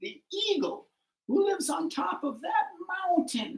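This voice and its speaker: In a put-on character voice, someone speaks at a moderate pace with a high pitch. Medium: read story.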